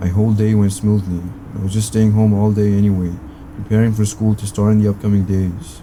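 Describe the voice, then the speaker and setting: With noticeable background noise behind him, a man speaks at a fairly quick pace in a fairly low pitch, his intonation monotone and flat. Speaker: horror story narrator. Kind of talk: scary story narration.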